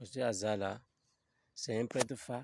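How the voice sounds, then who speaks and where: Ordinary pitch variation comes across in a dry, close sound with no echo on a very clean recording with a silent background. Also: man. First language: Fon (speaking French). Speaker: religious video commentator. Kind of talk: casual video commentary.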